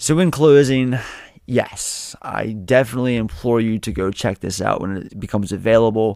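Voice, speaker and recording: A man speaks at a medium pitch with ordinary pitch variation and a moderate pace. It is a plain, everyday voice. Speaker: podcast host. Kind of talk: casual solo film review podcast.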